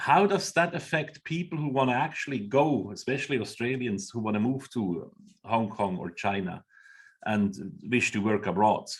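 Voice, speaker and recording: Speaking with a Swiss accent, a man makes very wide pitch swings. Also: medium pitch for a man, moderate pace. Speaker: webinar host. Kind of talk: webinar moderation.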